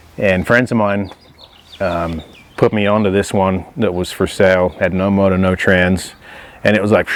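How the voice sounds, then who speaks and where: The speaker has an American accent and a moderate pace. Noticeable background noise sits behind the voice. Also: man. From England. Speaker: classic car owner. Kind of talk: interview monologue about his car. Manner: casual, with frequent fillers.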